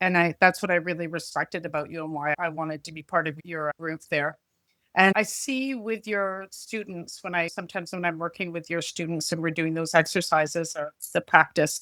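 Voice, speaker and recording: A woman with a Canadian accent at a fairly quick pace, on a very clean recording with a silent background. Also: fairly low pitch for a woman, fairly even intonation, big swings in loudness, dry, close sound with no echo. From Canada. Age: 60s. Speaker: psychic medium. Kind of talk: podcast interview, personal testimony. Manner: halting, emotional.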